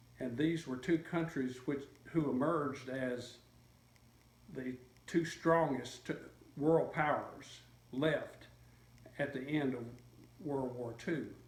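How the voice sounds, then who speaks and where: Somewhat breathy and fairly even in intonation, the voice moves at a very slow pace with long, frequent pauses amid audible room echo. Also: man, fairly high pitch for a man. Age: 70s. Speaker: interviewee recalling history. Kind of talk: interview. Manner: halting, many fillers and repeats.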